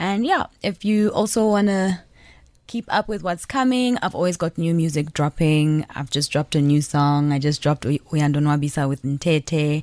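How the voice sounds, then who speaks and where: Speech unfolds at a moderate speed. The recording is very clean, and the background is silent. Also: woman, very deep, low pitch for a woman, lively intonation, dry, close sound with no echo. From Zambia. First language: Nyanja. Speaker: musician. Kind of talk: radio interview.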